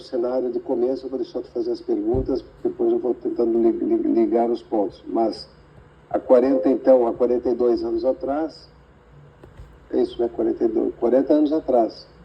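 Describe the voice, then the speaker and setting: Speaking at a moderate pace is a man. Background noise is noticeable. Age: 60s. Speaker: computer scientist, tech industry veteran. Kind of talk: interview. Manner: halting.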